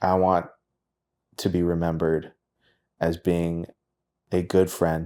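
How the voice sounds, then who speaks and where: In a dark, mellow tone, a man with a very deep, low pitch speaks in a monotone with flat intonation. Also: very clean recording, silent background. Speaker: singer-songwriter. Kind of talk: casual chat.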